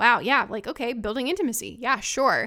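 A woman speaks at a high pitch in a bright, sharp, animated tone. The recording is very clean, and the background is silent. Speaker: ADHD acceptance coach. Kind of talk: solo podcast monologue. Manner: animated, chatty.

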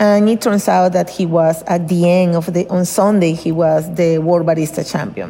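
Over noticeable background noise, a woman with a Spanish accent talks at a fairly low pitch. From Venezuela. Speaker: lawyer and competition volunteer. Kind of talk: interview storytelling.

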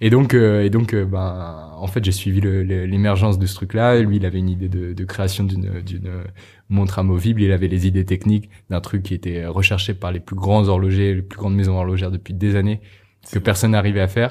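A man's very deep, low, somewhat breathy voice with a dark, mellow tone, a fairly quick pace and monotone, flat intonation, on a very clean recording with a silent background. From Normandy, France. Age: 20s. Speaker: entrepreneur. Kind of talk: interview. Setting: coworking space. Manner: halting, many fillers and repetitions.

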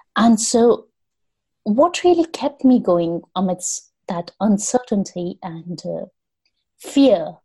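A woman's very slow, somewhat breathy speech with a dark, mellow tone at medium pitch, very wide pitch swings, big swings in loudness, and long, frequent pauses. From India. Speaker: storytelling coach. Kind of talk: interview conversation.

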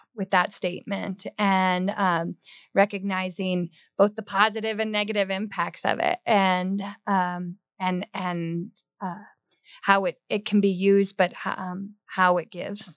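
On a very clean recording with a silent background, a woman at a medium pitch speaks at a fairly slow pace, her sound dry and close with no echo. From Hawaii. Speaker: state water agency director. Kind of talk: interview.

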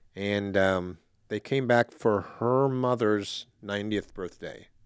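In an American accent, a man speaks in a normal speaking voice with a fairly low pitch and fairly even intonation, recorded very cleanly against a silent background with a dry, close sound and no echo. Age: 60s. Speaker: store owner. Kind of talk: casual interview.

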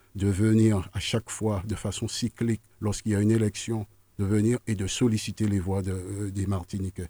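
A man speaks with fairly low pitch in a dark, mellow tone, his intonation monotone and flat at a moderate pace. The sound is dry and close with no echo, in a very clean recording with a silent background. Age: 60s. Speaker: political candidate. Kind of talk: radio interview. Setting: radio studio.

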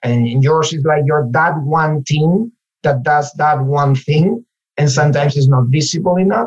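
A man with a Spanish accent speaks at a fairly slow pace in a fairly high, somewhat breathy voice, with ordinary pitch variation and very even loudness. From Spain, Galicia (Ourense). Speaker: localization manager. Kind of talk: interview conversation.

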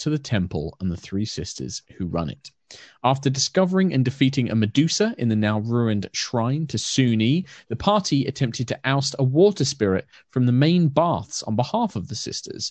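A man with a British accent talks at a moderate pace. His pitch swings very widely. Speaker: dungeon master.

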